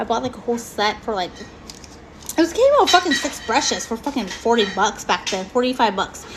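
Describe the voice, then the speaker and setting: With an American accent, a woman's voice moves in very wide pitch swings against noticeable background noise. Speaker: beauty vlogger. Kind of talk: casual live-stream chat. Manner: animated.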